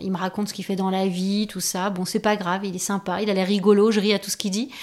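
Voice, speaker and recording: In a very clean recording with a silent background, the voice belongs to a woman. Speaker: YouTuber. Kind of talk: personal testimony. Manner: hesitant with fillers.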